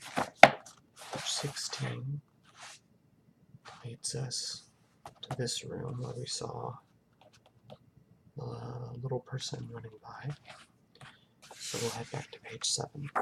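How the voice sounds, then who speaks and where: Soft-spoken, a man talks at a very slow pace with long, frequent pauses and big swings in loudness. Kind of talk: casual talk to camera, thinking aloud while solving a puzzle.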